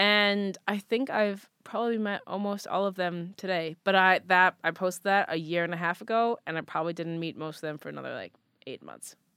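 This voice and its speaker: A woman's bright, sharp tone at medium pitch, fairly quick and fairly even in intonation, with big swings in loudness and a dry, close sound with no echo. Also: hardly any pauses. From US, moved around (California, Midwest, Massachusetts). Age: 20s. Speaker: content creator and photographer. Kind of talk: casual interview chat.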